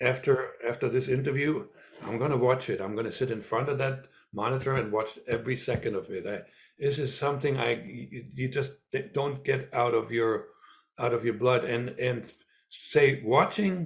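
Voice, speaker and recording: A man speaks with a slight German accent at a medium pitch. His voice is somewhat breathy. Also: ordinary pitch variation, moderate pace. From East Germany. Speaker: former spy and author. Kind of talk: interview. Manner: halting, with many repeats and fillers.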